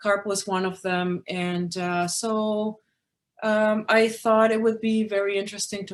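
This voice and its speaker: A woman with a slight Spanish accent, at a moderate pace with fairly even intonation, in a very clean recording with a silent background. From Peru. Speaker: magazine publisher. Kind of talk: presentation. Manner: hesitant fillers.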